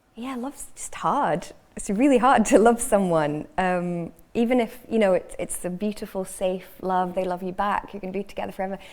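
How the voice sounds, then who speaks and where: A woman speaks in a slight Scottish accent at a medium pitch and a moderate pace. Her pitch varies in an ordinary way, while her loudness swings widely. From northern England, Cheshire. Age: 30s. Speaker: fiction writer. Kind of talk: panel discussion. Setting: stage with audience.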